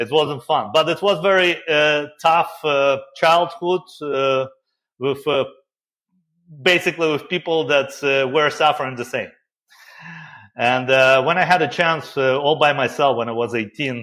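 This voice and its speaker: Speaking fairly slowly with long, frequent pauses, a man with a strong Russian accent uses a fairly high pitch and a bright, sharp tone. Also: ordinary pitch variation. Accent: thick Russian. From Soviet Union, Siberia. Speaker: software company founder. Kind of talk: interview. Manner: halting, many fillers.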